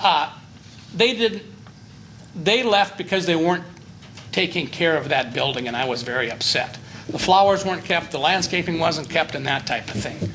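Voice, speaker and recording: The speaker keeps a moderate pace with lively intonation, stopping for long, frequent pauses. Noticeable background noise is present. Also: man, high pitch for a man. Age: 60s. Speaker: property owner applying for variance. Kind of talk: public meeting testimony.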